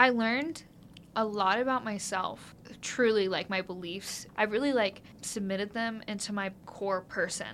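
A woman's medium-pitched voice with a Midwestern American accent, ordinary pitch variation, and a moderate pace. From US Midwest (rural Ohio). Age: 20s. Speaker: undergraduate student researcher. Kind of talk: interview. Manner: animated.

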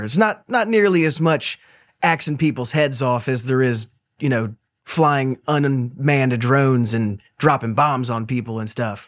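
Someone talks at a moderate pace in an unremarkable speaking voice with ordinary pitch variation. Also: man. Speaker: podcast host. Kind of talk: casual interview chat. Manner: relaxed, casual.

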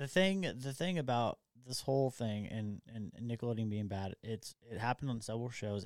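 On a very clean recording with a silent background and a dry, close sound without echo, a man with a plain, everyday voice speaks at medium pitch and a fairly quick pace, with ordinary pitch variation. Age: 30s. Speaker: podcast host. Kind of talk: casual chat. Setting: studio.

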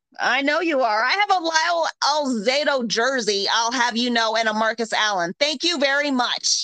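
A woman's raised, projected, high voice at a moderate pace, with very even loudness and hardly any pauses. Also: lively intonation. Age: 40s. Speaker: podcast host. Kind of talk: casual chat.

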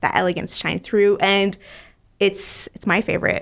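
This woman has a medium pitch and speaks with a Quebec French accent. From Montreal, Quebec. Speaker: wine business co-owner. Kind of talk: casual interview chat.

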